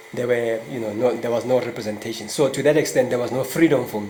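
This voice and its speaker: A man talks at a medium pitch, with audible room echo and noticeable noise in the background. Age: 60s. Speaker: politics professor. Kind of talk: interview.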